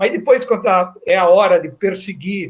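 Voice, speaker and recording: Intonation is lively as a man talks at a fairly slow pace. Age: 60s. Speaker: professor. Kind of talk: lecture. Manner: formal.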